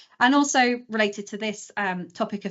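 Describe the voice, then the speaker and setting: The speaker is a woman. Her pitch is fairly high. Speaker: space engineer. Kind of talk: conference talk. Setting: live stream presentation.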